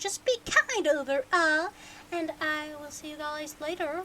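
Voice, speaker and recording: Raising and projecting her voice, a woman speaks at an extremely high pitch in a bright, sharp tone with ordinary pitch variation. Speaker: streamer reading a book aloud. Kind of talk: casual chat. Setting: live stream. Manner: hesitant, many fillers.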